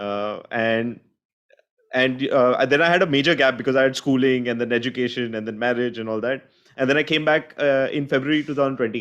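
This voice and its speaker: In an Indian accent, a man speaks with fairly even intonation. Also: medium pitch for a man, fairly quick pace. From India, Mumbai. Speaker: paraglider pilot, videographer. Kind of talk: online presentation.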